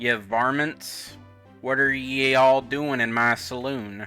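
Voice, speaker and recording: At a fairly slow pace, a man does a put-on character voice at medium pitch, with faint music in the background. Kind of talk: archaic, rustic.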